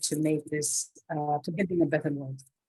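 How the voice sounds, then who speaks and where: The woman speaking has a very deep, low pitch. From Africa. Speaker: guest speaker, NGO leader. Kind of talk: online talk / career advice.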